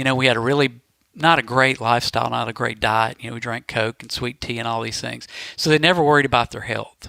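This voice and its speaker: In a Southern US accent, a man at medium pitch talks at a very fast pace with a bright, sharp tone, fairly even intonation and big swings in loudness. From Mississippi. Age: 40s. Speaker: podcast guest. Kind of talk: casual chat.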